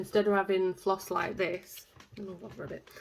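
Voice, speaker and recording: A woman speaks at medium pitch in a flat monotone. Noticeable background noise can be heard. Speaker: vlogger. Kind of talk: casual vlog to camera.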